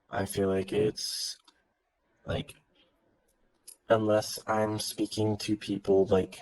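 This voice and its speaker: In a Californian accent, a man with a fairly low voice speaks in a flat monotone at a very slow pace, with long, frequent pauses and a dry, close sound with no echo. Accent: Californian, easy to understand. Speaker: worker with kids. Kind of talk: casual chat. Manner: eloquent.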